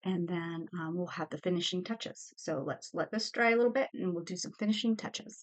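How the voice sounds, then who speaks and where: A woman talks at a fairly quick pace with hardly any pauses, in a plain, everyday voice. Her pitch is medium, with ordinary pitch variation. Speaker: art teacher. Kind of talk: tutorial.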